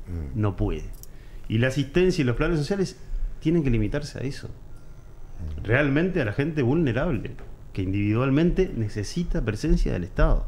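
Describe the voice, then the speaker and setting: Pausing long and often, a man with a fairly high pitch speaks with vocal fry and very wide pitch swings. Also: moderate pace. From Uruguay. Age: 40s. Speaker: political commentator. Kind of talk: interview. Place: studio. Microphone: studio mic.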